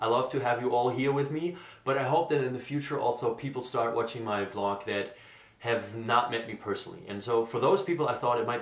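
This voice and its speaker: With a German accent and medium pitch, a man speaks over noticeable background noise with audible room echo. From Germany, Essen. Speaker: vlogger, graduate student. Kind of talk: unscripted vlog monologue. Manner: spontaneous, with fillers.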